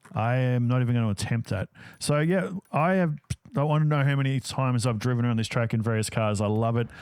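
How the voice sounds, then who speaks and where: With an Australian accent, a man speaks at a very fast pace and very even loudness. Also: medium pitch for a man, ordinary pitch variation. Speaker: gaming YouTuber. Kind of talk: gameplay commentary. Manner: casual, conversational.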